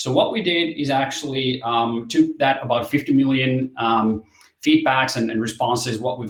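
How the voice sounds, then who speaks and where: Somewhat breathy, this voice keeps a moderate pace. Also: man. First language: Finnish. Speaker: company representative presenting product. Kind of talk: webinar presentation. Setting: online webinar. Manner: halting, many fillers and repetitions.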